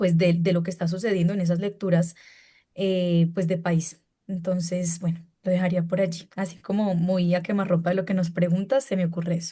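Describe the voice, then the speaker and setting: This woman's somewhat breathy voice is fairly low in pitch, with a dark, mellow tone and monotone, flat intonation. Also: moderate pace. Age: young. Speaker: panelist in education discussion. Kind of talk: panel discussion. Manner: halting, many fillers.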